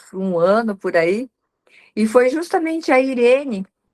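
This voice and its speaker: A woman is speaking. Her pace is very slow. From Paraná, Brazil (Assaí). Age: 60s. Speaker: professional organizer. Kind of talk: interview testimony.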